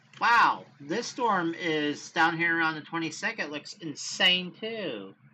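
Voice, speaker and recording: Amid noticeable background noise, a woman with a fairly low pitch speaks at a very slow pace with lively intonation. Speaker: weather livestreamer. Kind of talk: live weather commentary. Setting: livestream. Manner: animated.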